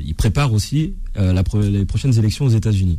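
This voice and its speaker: This man has a fairly low pitch and speaks at a moderate pace. His is a normal speaking voice. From France, Seine-Saint-Denis. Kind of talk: heated debate.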